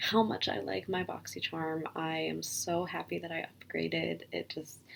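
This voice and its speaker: A quiet woman's voice over noticeable background noise. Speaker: beauty vlogger. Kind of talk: unboxing vlog. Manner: low energy.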